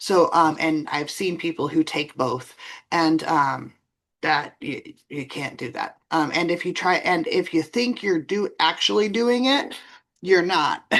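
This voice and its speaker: A woman with a normal speaking voice talks at a fairly slow pace and a fairly low pitch. Her intonation is lively, and the background is quiet. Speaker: bookkeeper and tax professional. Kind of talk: expert interview.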